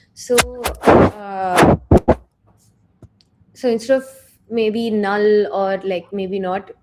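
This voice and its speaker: A woman's medium-pitched voice at a very slow pace, with long, frequent pauses, fairly even intonation and music in the background. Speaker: programming instructor. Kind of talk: tutorial. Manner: soft-spoken. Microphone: too quiet.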